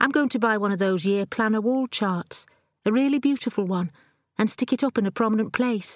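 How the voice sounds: A natural reading voice shows ordinary pitch variation, with a quiet background behind it.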